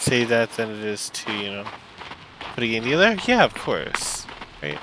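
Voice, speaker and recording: With lively intonation, a man speaks at medium pitch and a moderate pace over noticeable background noise. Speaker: gaming let's play commentator. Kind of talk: casual gameplay commentary. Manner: halting.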